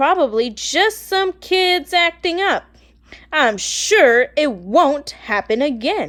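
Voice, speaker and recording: Putting on a raspy character voice, a woman speaks very slowly at a high pitch, with very wide pitch swings. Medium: read story. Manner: stern, commanding.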